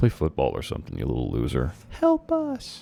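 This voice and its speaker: Quiet and strained, a man speaks at a moderate pace in a dark, mellow tone with vocal fry and very wide pitch swings. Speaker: YouTuber reading his childhood stories. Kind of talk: reading aloud with commentary. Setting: at home, roommate sleeping nearby. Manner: quiet, restrained.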